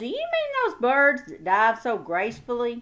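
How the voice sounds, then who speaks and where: A woman uses a loud, put-on character voice at a high pitch. She keeps a moderate pace. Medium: read story. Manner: loud, hearty.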